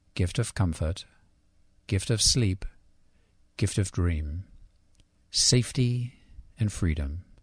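With long, frequent pauses and a very slow pace, a man talks in a fairly low, somewhat breathy voice with lively intonation and very even loudness, in a very clean recording with a silent background. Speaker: guest. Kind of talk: casual chat. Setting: studio.

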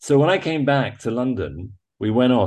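Against a quiet background, a man with an English accent speaks at a moderate pace in a somewhat breathy, dark, mellow tone. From England. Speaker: photojournalist. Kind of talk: interview. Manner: halting.

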